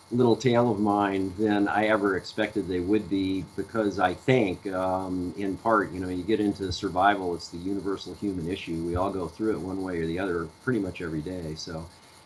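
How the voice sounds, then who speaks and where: Over noticeable background noise, a man with a very deep, low pitch talks at a fairly quick pace with fairly even intonation. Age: 60s. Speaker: sailor and author, survivor. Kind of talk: interview. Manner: halting, many fillers.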